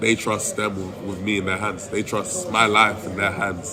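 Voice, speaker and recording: A fairly low-pitched man's voice with fairly even intonation, amid noticeable background noise. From London, England. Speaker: college football offensive lineman. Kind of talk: interview answer.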